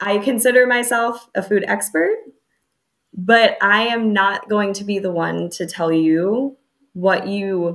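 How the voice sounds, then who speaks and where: A normal speaking voice with an American accent and ordinary pitch variation comes through on a very clean recording with a silent background. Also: woman. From US suburbs. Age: 30s. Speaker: dietitian-nutritionist. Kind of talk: interview.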